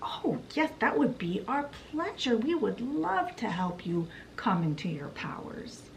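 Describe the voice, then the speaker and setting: Clear background noise sits behind a woman doing a put-on character voice. Her pitch is fairly high and swings very widely. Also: fairly slow pace. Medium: solo performance.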